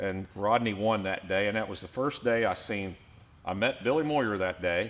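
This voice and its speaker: Speaking at a moderate pace, a man with an unremarkable speaking voice sits fairly low in pitch with ordinary pitch variation. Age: 60s. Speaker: racing team owner. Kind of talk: casual chat.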